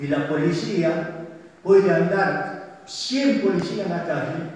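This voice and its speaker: A man speaks with a high pitch. Strong room echo surrounds his voice. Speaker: assault victim giving testimony. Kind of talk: public testimony at a community meeting. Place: hall.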